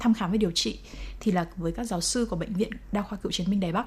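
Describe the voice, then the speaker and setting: A somewhat breathy woman's voice, fairly high in pitch, very fast in pace, with ordinary pitch variation. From Vietnam. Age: 20s. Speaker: TV editor and mother of liver transplant patient. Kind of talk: interview testimony.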